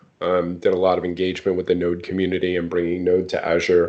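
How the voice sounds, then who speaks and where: This is a man's voice. His accent is American. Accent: New York under a semi-West Coast. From New York, Long Island. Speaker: software product leader. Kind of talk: casual interview chat. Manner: many filler words.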